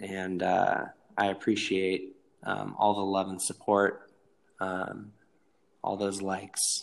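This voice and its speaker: A man talks at a very slow pace with long, frequent pauses. His very deep, low voice stays monotone and flat. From Northern California. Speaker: comedian and skater who plays characters in videos. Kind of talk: casual chat. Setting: video call, bad connection. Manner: casual, slangy.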